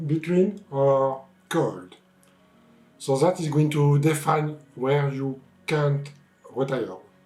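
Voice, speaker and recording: A man speaks at a very slow pace, leaving long, frequent pauses. His pitch is fairly high, with ordinary pitch variation. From France. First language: French. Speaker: YouTube channel co-host. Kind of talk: casual chat.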